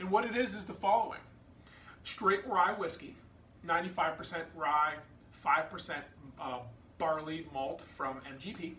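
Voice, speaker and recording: A man talks at a very slow pace with long, frequent pauses. Light background noise and audible room echo surround his voice. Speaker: whiskey reviewer. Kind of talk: product review vlog; casual review chat. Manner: slow, halting with fillers. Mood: relaxed, enthusiastic. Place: home room. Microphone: phone near.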